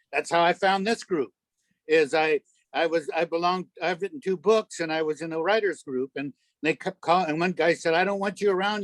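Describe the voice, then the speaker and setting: The sound is dry and close, with no echo. A man speaks at a high pitch with ordinary variation. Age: 70s. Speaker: audience member and author. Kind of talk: audience question. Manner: halting.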